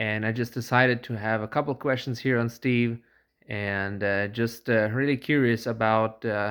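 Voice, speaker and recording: On a very clean recording with a silent background, a man at a medium pitch speaks in a flat monotone at a moderate pace. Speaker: touring cyclist. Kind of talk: casual talk to camera.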